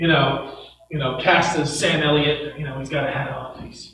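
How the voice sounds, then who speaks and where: A man at a moderate pace with monotone, flat intonation, amid light background noise and audible room echo. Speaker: preacher. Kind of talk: sermon. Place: church.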